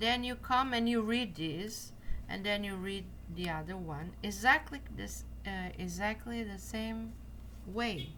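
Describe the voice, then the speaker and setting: A woman with a Portuguese accent speaks at a fairly slow pace amid audible room echo. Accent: non-native English, Portuguese. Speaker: card reader. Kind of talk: tutorial. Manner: halting.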